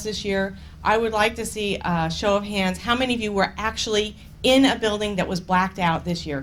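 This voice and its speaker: In a room with audible echo, a woman talks at a fairly quick pace in a medium pitch with ordinary pitch variation. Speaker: energy policy consultant. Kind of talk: conference talk. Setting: conference room with audience. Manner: loud.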